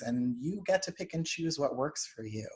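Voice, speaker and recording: The man's voice comes across somewhat breathy. His delivery moves at a fairly quick pace. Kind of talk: lecture.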